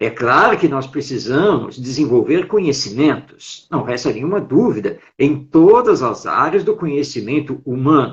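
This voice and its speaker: Here a man speaks with a fairly high pitch and lively intonation. His voice is somewhat breathy. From Brazil, São Paulo city. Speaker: writer, educator and Spiritist speaker. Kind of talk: interview on a live stream talk. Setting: online live stream.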